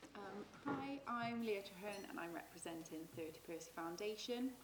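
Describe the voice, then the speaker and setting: Noticeable background noise and audible room echo surround a woman's voice. Her pitch variation is ordinary. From Forest of Dean, England. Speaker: foundation representative. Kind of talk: panel discussion.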